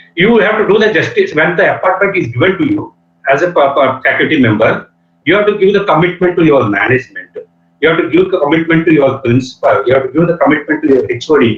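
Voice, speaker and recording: A man with a Telugu accent talks at a very fast pace in a high pitch, with lively intonation and very even loudness. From India, Andhra Pradesh. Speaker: engineering professor. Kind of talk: lecture. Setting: video call. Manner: halting, many fillers. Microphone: network connectivity problem.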